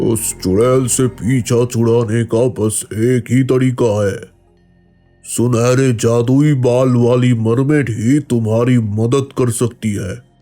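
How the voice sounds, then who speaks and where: Over faint background music, a man does a cartoonish character voice at a medium pitch, very slowly and with fairly even intonation. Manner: calm, solemn.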